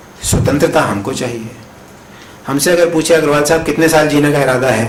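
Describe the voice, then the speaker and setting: Through audible room echo and noticeable background noise, a man speaks with a fairly high pitch and fairly even intonation. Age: 60s. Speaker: professor. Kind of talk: conference talk. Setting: conference hall with audience.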